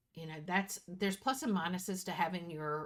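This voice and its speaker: A woman speaks with a plain, everyday voice. Her pitch variation is ordinary. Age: 60s. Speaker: planner youtuber. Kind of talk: casual vlog talk. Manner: chatty, self-correcting.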